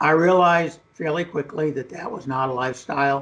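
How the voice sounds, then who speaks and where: A man's voice, somewhat breathy, with ordinary pitch variation. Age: 60s. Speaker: geologist and oil and gas entrepreneur. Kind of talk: radio interview.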